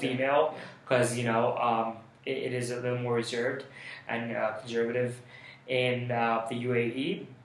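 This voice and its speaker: Over noticeable background noise, a man at medium pitch talks at a moderate pace in a monotone, flat intonation, leaving long, frequent pauses. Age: 20s. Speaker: college student. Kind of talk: interview answer.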